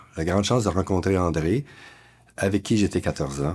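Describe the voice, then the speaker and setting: A man with ordinary pitch variation. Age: 70s. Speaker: community worker. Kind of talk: personal testimony.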